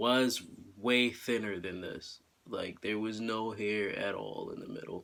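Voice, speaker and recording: A man's fairly low-pitched voice, bright and sharp in tone, in a flat monotone at a fairly slow pace. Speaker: video blogger. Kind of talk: casual vlog update. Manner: hesitant with fillers.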